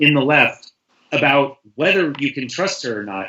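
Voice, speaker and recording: Using a normal speaking voice, a man with an American accent talks at a moderate pace with fairly high pitch and ordinary pitch variation. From US, San Francisco. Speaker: writer, panel guest. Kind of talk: casual panel discussion.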